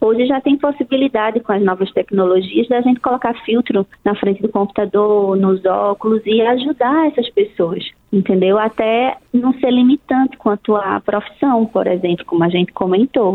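Fairly high-pitched speech from a woman at a moderate pace with hardly any pauses, ordinary pitch variation and noticeable background noise. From Brazil, outside Brasília. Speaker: ophthalmologist. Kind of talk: radio interview.

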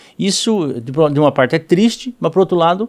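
On a very clean recording with a silent background, a man talks at a very fast pace in a high voice. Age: 50s. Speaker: politician. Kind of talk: interview. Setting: studio. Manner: halting, many repetitions and fillers.

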